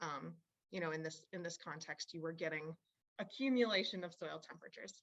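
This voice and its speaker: A woman with an unremarkable speaking voice talks at a fairly quick pace, her fairly low pitch showing ordinary pitch variation. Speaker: university researcher presenting on farming. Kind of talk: webinar presentation.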